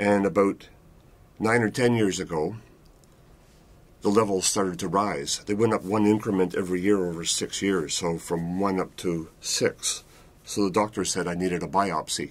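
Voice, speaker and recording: Fairly even intonation and a fairly low pitch from a man, delivered at a moderate pace. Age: 60s. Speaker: prostate cancer patient. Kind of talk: testimony. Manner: halting.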